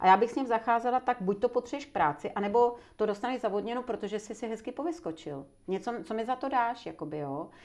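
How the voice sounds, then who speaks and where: Against a quiet background, a woman talks at a very fast pace with hardly any pauses, her fairly high voice showing vocal fry and lively intonation. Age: 60s. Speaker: personal coach and trainer. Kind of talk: interview conversation.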